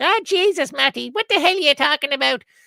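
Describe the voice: A put-on character voice with a high pitch rattles along at a very fast pace, with an Irish accent as part of the act.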